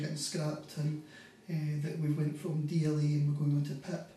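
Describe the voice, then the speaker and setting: A man with a Scottish accent and a fairly high voice at a fairly quick pace, with audible room echo and noticeable background noise. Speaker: carer. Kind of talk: interview testimony. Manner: halting, many fillers.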